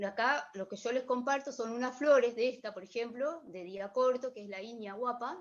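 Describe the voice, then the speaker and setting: High female voice at a moderate pace with ordinary pitch variation, big swings in loudness and hardly any pauses. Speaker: workshop instructor. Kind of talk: online workshop lecture. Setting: video livestream.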